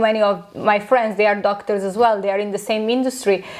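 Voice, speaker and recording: Speaking in a Romanian accent, a woman keeps a fairly quick pace. Her intonation is monotone and flat, with noticeable background noise behind her. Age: 30s. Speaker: aesthetic doctor, clinic founder. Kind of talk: podcast interview.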